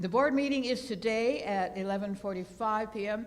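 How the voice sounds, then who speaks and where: A woman talks at medium pitch and a moderate pace with ordinary pitch variation, and the room echo is audible. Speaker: church service leader giving announcements. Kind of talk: church announcements. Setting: church sanctuary with congregation. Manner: halting, with many fillers; enthusiastic.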